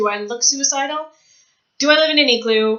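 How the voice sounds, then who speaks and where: Speaking at a moderate pace, a woman with a Canadian accent talks in a high pitch. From Canada. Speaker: author vlogger. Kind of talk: vlog monologue.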